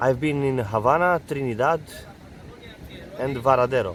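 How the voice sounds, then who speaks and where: A man talks at a fairly slow pace with a Romanian accent. His pitch sits in the medium range. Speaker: artist and travel vlogger. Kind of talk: travel tips monologue. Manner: halting, many fillers and repetitions.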